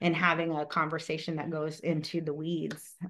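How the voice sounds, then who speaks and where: Against a quiet background, a woman speaks at a moderate pace in a normal speaking voice. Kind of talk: webinar presentation.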